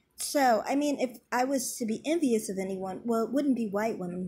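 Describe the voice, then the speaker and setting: The voice is somewhat breathy with a dark, mellow tone and an American accent. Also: woman. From US Midwest. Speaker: YouTube commentator. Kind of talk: vlog monologue. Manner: overpronounces words.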